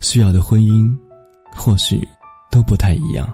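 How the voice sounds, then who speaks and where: Music plays in the background while a man talks. He has a fairly low pitch and a fairly slow pace. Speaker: radio host. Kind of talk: radio narration, personal essay reading.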